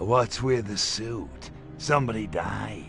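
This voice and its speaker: Clear music plays behind a man doing a put-on character voice. He speaks fairly low and at a fairly slow pace. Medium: machinima. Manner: sardonic, tough-talking.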